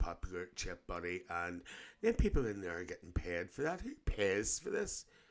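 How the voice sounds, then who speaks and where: A man with a Northern Irish accent speaks in a very deep, low pitch at a moderate pace. His pitch variation is ordinary, and the recording is very clean with a silent background. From Northern Ireland, Lisburn near Belfast. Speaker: reaction video host. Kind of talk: casual reaction commentary.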